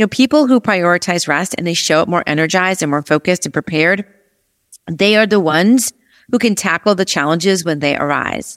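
A woman speaks in a normal speaking voice at a fairly low pitch, with lively intonation and a fairly quick pace. The sound is dry and close, with no echo. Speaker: podcast host, productivity coach. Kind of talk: solo podcast episode, talking to listeners.

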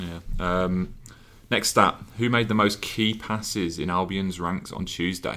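Very deep and low-pitched, this man's voice has a bright, sharp tone. He talks at a fairly slow pace with fairly even intonation. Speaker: podcast host and digital journalist. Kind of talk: casual chat. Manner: joking, banterous.

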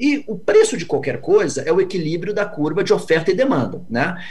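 A man with a high voice and very wide pitch swings talks amid noticeable background noise and audible room echo. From Brazil. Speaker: venture capital investor. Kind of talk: interview.

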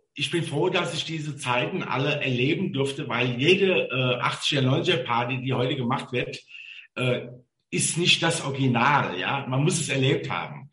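A fairly high-pitched man at a fairly slow pace, ordinary pitch variation, audible room echo. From Mainz, Rhineland-Palatinate, Germany. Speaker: chauffeur. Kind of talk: casual interview chat.

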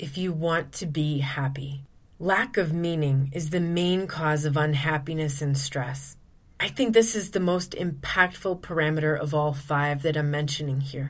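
Ordinary pitch variation in a somewhat breathy voice, at a fairly slow pace. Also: woman. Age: 40s. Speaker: podcast host, abuse recovery coach. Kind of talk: solo podcast monologue.

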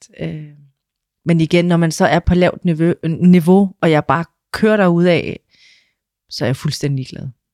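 A woman's dark, mellow voice sits at a fairly low pitch with fairly even intonation, in a dry, close sound with no echo. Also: long, frequent pauses, big swings in loudness. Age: 40s. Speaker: trainee dental assistant. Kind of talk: interview. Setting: studio.

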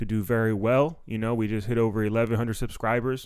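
A man with a plain, everyday voice talks at a moderate pace, his medium pitch carrying fairly even intonation. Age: 30s. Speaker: comedian and podcast host. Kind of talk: casual chat. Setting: green room of a comedy club.

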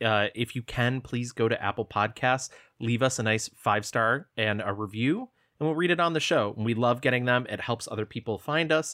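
With an American accent and a medium pitch, a man speaks at a moderate pace with ordinary pitch variation and a bright, sharp tone, in a very clean recording with a silent background and a dry, close sound with no echo. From upstate New York, small town. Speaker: film podcast co-host. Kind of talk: casual chat.

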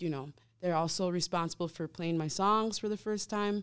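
A woman with an American accent and an unremarkable speaking voice, ordinary in pitch variation, on a very clean recording with a silent background. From Wisconsin. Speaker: band member, musician.

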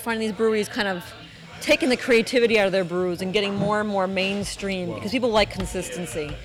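Music plays in the background as a woman talks. Her pace is very fast and her pitch medium. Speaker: foodie group admin and guest. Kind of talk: casual round-table chat.

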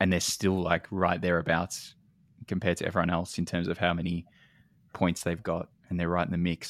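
In a very clean recording with a silent background, a man with a very deep, low pitch speaks at a fairly quick pace in a monotone, flat way. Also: dry, close sound with no echo. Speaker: football podcast co-host. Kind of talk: casual chat.

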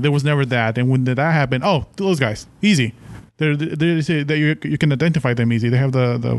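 A man with a Mexican accent, fairly high in pitch, fairly quick and with fairly even intonation. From Mexico. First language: Spanish. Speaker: podcast listener guest. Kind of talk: casual chat.

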